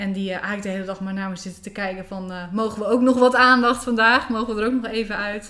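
Over noticeable background noise, a woman talks very fast with hardly any pauses, her medium pitch and fairly even intonation paired with big swings in loudness. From Netherlands, South Holland (between Rotterdam and The Hague). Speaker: spiritual coach. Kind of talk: interview conversation. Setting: at the host's home.

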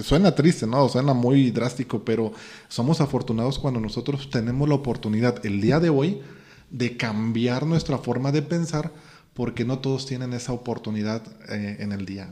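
A man with a Mexican accent speaks at medium pitch and a moderate pace. His tone is dark and mellow, with ordinary pitch variation. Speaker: podcast host, personal growth. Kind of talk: casual chat.

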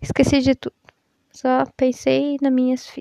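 Her pitch is high, with ordinary variation and a dark, mellow tone. The woman speaks at a fairly slow pace, and the sound is dry and close with no echo. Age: 20s. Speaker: podcaster and mother. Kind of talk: personal monologue.

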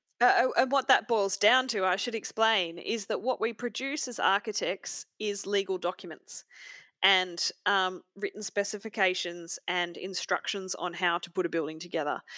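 Against a silent background in a very clean recording, a woman with an Australian accent speaks in a bright, sharp tone with ordinary pitch variation. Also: medium pitch for a woman, moderate pace, dry, close sound with no echo. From rural Australia. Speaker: architect and author. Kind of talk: casual interview.

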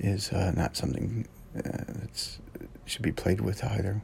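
With fairly even intonation and vocal fry, a man talks at a fairly low pitch. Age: 50s. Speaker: first aid instructor and podcast host. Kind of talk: casual solo podcast talk. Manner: halting, many fillers.

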